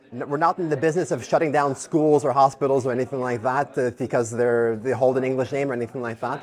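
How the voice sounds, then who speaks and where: A man with a Quebec accent talks at a medium pitch with fairly even intonation. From Quebec, English-speaking community. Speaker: political activist. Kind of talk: interview. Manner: casual, with fillers.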